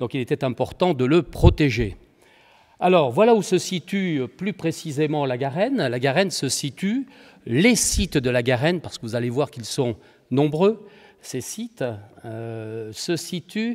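Over a quiet background, a man speaks at a fairly slow pace, his loudness swinging widely. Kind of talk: lecture. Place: hall. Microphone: podium.

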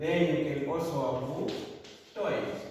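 The speech moves at a very slow pace, with strong room echo and light background noise. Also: man. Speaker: teacher. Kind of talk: lecture. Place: classroom. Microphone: camera far.

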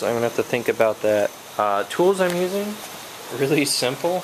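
A man is talking here. There is light background noise behind him. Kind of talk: casual tutorial narration. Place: street. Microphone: phone near.

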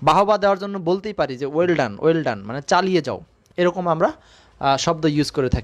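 A man speaks with lively intonation and a high pitch. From Bangladesh, Rajbari district. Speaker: English exam-prep teacher. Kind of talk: live online lecture. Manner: conversational with English code-switching.

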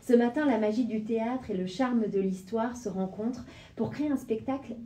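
A woman speaks at a fairly slow pace with a fairly high pitch. Her pitch varies in an ordinary way. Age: 30s. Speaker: radio host, former dancer; radio host. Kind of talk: radio interview. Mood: warm, welcoming. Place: studio.

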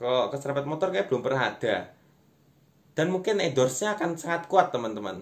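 Very wide pitch swings run through a man's speech at a very fast pace. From East Java, Indonesia. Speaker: stand-up comedian and content creator. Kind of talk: stand-up comedy, online monologue to camera. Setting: online video, self-recorded without clip-on mic. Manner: conversational, addressing viewers as friends. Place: home room. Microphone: phone near.

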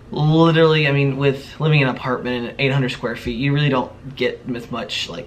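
A man talks at a fairly quick pace with hardly any pauses and fairly even intonation. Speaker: vlogger. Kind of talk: casual vlog chat. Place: home room. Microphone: camera far.

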